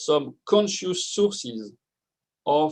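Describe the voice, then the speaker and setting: A man is speaking. He has a French accent. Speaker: neuroscience researcher. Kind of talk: conference talk.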